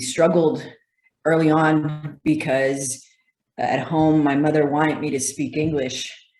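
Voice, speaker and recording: With a Spanish accent, a woman speaks in a very deep, low pitch and a monotone, flat intonation, with audible room echo around her. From El Paso, Texas, US-Mexico border. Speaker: physical therapist. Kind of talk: interview.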